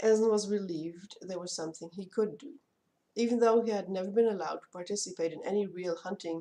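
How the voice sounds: The delivery is a natural reading voice with ordinary pitch variation. The background is quiet.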